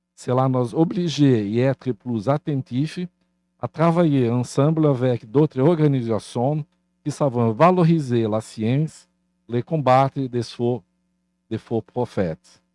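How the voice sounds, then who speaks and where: With a Portuguese accent, a man speaks at a very slow pace in a dark, mellow tone with ordinary pitch variation. The sound is dry and close with no echo, over a quiet background. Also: medium pitch for a man. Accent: Portuguese-speaker accent in French. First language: Portuguese (speaking French). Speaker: university leader. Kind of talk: formal welcome speech.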